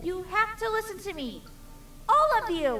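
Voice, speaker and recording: Over clear background noise, a woman uses a put-on character voice at an extremely high pitch, sounding female. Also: moderate pace. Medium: read story.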